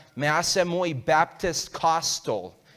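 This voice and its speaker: A man with an English accent speaks very slowly in a high pitch. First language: English (speaking Spanish). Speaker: guest preacher. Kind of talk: sermon. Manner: halting, hesitant Spanish.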